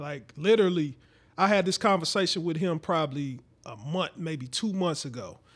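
Speaking in an unremarkable speaking voice with an American accent, a man goes at a fairly quick pace with a fairly high pitch and ordinary pitch variation, in a very clean recording with a silent background. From St. Louis, Missouri. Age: 30s. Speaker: podcast host. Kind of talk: casual chat.

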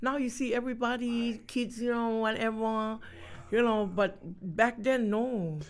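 The speaker uses fairly even intonation, and there is audible room echo. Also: woman, fairly high pitch for a woman, fairly slow pace. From Hawaii (Honolulu), Tongan family. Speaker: entertainer and Tongan dancer. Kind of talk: casual interview chat.

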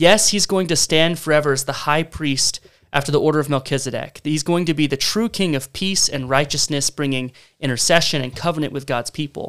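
A man with a fairly high voice talks at a fairly quick pace in an animated, enthusiastic tone with ordinary pitch variation. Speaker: church member, co-host. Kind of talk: casual discussion podcast on Bible reading.

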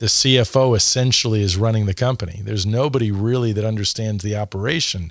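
In a very clean recording with a silent background, a man with an American accent uses a normal speaking voice at a fairly low pitch, moderate pace and ordinary pitch variation. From US Northeast. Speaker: franchising consultant. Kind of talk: casual interview. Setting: studio.

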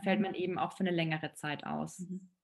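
Her voice sits at a fairly low pitch. A woman is the one speaking. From Allgäu, Bavaria. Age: 30s. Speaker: relaxation and stress-management expert. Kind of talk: podcast interview.

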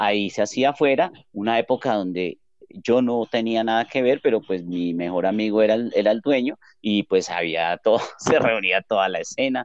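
A man with a normal speaking voice keeps a medium pitch, ordinary pitch variation and a moderate pace. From Colombia, Armenia (coffee region). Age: 30s. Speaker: music venue owner and guitarist. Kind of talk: podcast interview.

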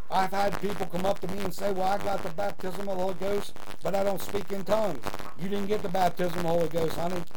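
Speaking at a very fast pace amid noticeable background noise, a man with a high pitch keeps a monotone, flat intonation and very even loudness. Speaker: preacher and podcast host. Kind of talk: fireside Bible teaching and sermon. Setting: podcast recording. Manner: earnest, warm, preacherly with praise and call-and-response.

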